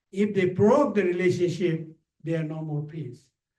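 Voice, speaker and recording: Audible room echo surrounds a man's high-pitched voice. His tone is dark and mellow. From Ladakh, India. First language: Ladakhi. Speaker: visiting speaker. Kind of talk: Q&A talk. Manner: halting.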